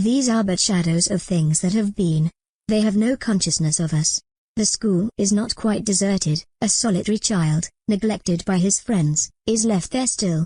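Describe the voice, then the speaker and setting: A female-sounding cartoonish character voice, medium in pitch, moves along at a moderate pace. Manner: calm, solemn, occasionally tart.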